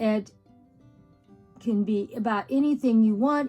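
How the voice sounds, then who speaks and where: Somewhat breathy, a woman speaks at a fairly high pitch in a dark, mellow tone. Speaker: YouTube lifestyle vlogger. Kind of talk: casual vlog chat.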